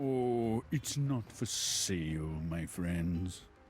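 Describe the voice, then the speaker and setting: A man uses a put-on character voice with a very deep, low pitch at a very slow pace. Background noise is clear. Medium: video game. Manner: smooth, falsely friendly, chuckling.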